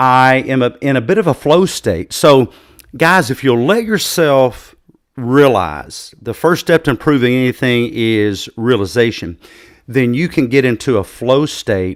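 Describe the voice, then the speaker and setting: In an unremarkable speaking voice, a man talks at a fairly slow pace with a medium pitch and lively intonation, on a very clean recording with a silent background. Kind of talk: casual talk, podcast host.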